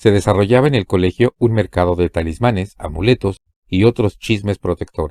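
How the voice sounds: Against a quiet background, a natural reading voice moves with ordinary pitch variation.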